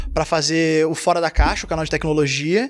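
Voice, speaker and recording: At a very fast pace, a man speaks in a high pitch. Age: 30s. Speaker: gaming content creator. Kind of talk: casual chat.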